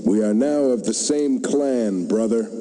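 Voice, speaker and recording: At a fairly slow pace, a man puts on a character voice at a medium pitch. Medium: machinima.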